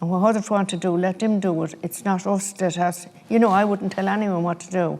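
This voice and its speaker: A woman speaks with an Irish Midlands accent. Her pitch is medium and her intonation fairly even. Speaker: grandparent. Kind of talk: interview testimony.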